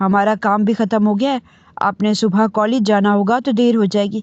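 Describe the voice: Plain reading aloud, its intonation fairly even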